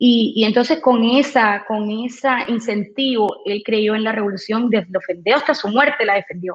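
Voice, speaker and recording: A woman talks at a moderate pace with hardly any pauses. Her fairly high voice is somewhat breathy, with ordinary pitch variation. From Cuba. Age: 40s. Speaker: radio personality and insurance saleswoman. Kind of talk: interview. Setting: video call from home.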